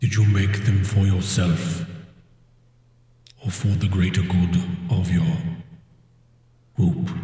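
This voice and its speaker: Using a put-on character voice with a fairly low pitch, a man speaks in a solemn tone at a fairly slow pace, with long, frequent pauses and a strong echo. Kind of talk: fantasy epic speech. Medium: actual play. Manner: slow, solemn, grave.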